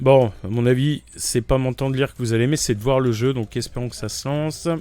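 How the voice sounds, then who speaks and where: A medium-pitched man with fairly even intonation, over music in the background. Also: fairly quick pace. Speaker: gaming youtuber. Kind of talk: let's play commentary. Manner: casual, halting.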